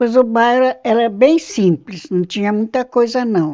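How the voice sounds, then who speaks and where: Ordinary pitch variation runs through this clip. The speaker is a woman. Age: 80s+. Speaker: longtime resident. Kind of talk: oral history interview.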